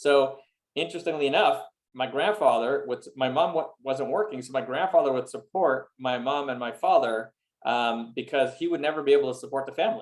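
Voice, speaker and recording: In a Montreal accent, the speaker goes very fast with lively intonation yet takes long, frequent pauses. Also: man, fairly high pitch for a man. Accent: Canadian English (Montreal anglophone). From Montreal, Canada (English-speaking). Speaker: real estate investor. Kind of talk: interview. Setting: video call.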